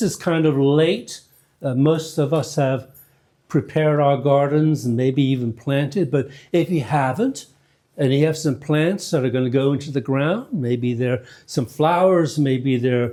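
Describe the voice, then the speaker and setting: The voice has a dark, mellow tone and very even loudness, with ordinary pitch variation at a fairly slow pace. It comes from a very clean recording with a silent background. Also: man. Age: 70s. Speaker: priest. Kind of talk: church announcements. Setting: church. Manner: halting, many fillers.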